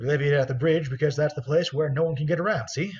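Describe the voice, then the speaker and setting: A man uses a gruff, put-on character voice with a fairly high pitch. He talks at a very fast pace with fairly even intonation. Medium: actual play. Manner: gruff, folksy, dropped letters.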